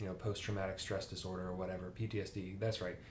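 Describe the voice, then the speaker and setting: Audible room echo and light background noise surround the recording. A man speaks in a very deep, low pitch. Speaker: book reviewer. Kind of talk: casual vlog chat. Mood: relaxed, conversational. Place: home room.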